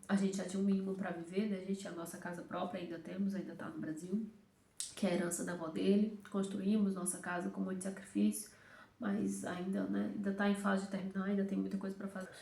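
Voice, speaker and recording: In a Ceará accent, a woman talks very fast at a medium pitch with monotone, flat intonation, amid audible room echo and noticeable background noise. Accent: Brazilian Portuguese, Northeastern (Cearense). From Brazil, Fortaleza, Ceará (Northeast). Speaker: immigrant vlogger. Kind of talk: casual chat.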